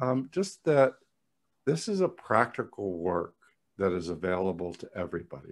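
A man with an ordinary speaking voice at a fairly low pitch, lively intonation and a moderate pace, over a quiet background. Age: 60s. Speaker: psychologist and psychotherapy trainer; psychotherapy trainer. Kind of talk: interview conversation. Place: home room. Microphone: studio mic.

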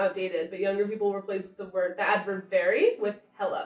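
With faint music in the background and audible room echo, a woman talks in an American accent. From United States. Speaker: slang explainer. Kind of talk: casual conversation on camera. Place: home room. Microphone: camera far.

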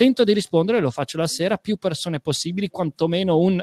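Against a quiet background, a man with a high pitch uses ordinary pitch variation in a dry sound with no echo. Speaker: storyteller and creative studio director; guest. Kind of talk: online talk on storytelling; interview answer. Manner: animated, restless; fast. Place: home room. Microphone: studio mic.

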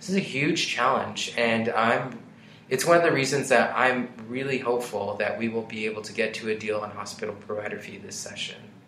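A man talks at a fairly quick pace, his loudness swinging widely, with audible room echo. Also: medium pitch for a man, ordinary pitch variation. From Colorado, Adams County. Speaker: state senator. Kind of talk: interview.

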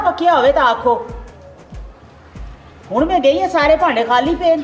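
Faint music plays in the background as a woman with a Mirpuri accent speaks at an extremely high pitch. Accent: Pothwari-Mirpuri Punjabi. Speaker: actress. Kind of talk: comedy drama dialogue.

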